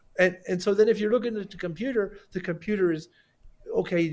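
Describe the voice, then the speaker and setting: Speaking at a fairly quick pace, a man with a dark, mellow tone is heard in a very clean recording with a silent background. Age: 60s. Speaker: sculptor. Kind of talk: casual chat. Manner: halting, many repeated words; animated.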